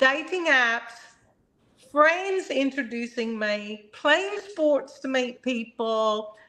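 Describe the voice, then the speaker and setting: A woman uses a raised, projected voice with lively intonation. Her pace is very slow. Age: 60s. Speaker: doctor and panel guest. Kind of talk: casual chat.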